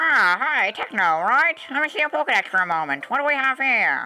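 A man puts on a character voice at an extremely high pitch. He talks at a fairly quick pace, with clear background noise.

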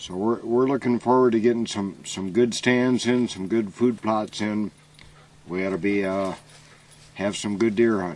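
At a moderate pace, a man speaks with a fairly low pitch and fairly even intonation, the sound dry with no echo. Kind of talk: casual documentary chat. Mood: relaxed, joking. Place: farm machine.

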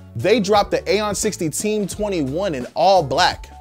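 A man talks while faint music plays in the background. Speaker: news show host. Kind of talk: commentary. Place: studio.

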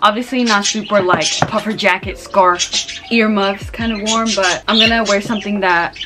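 Noticeable background noise sits under the voice. Pitch varies in an ordinary way, and the pace is moderate. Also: woman. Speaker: vlogger. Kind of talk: casual vlog chat. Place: home room. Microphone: camera far.

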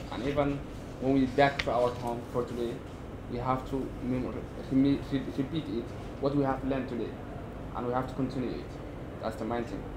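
A man at a fairly quick pace with long, frequent pauses and noticeable background noise. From Somalia. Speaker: university student. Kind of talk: workshop participation. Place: meeting room. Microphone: podium.

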